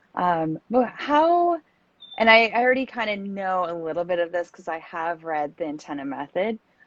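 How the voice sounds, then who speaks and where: A woman with a Canadian East Coast accent, fairly low pitch, lively intonation, big swings in loudness and a moderate pace. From East Coast Canada, New Brunswick. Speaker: feng shui designer, podcast host. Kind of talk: casual interview chat.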